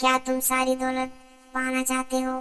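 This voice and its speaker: A female-sounding voice performs a put-on character voice at a high pitch. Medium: audio drama. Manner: eerie, tempting.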